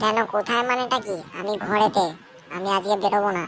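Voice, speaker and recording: Doing a cartoonish character voice, a woman speaks at a medium pitch with fairly even intonation over clear background noise. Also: moderate pace. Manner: indignant, complaining.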